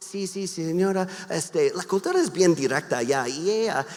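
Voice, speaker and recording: A man talks at a fairly slow pace with a slight non-native accent and a high pitch. There is noticeable background noise. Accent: slight foreign accent in Spanish. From US Midwest, Wisconsin. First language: English (speaking Spanish). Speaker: pastor and missionary. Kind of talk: sermon. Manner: halting, with many repeated words and fillers.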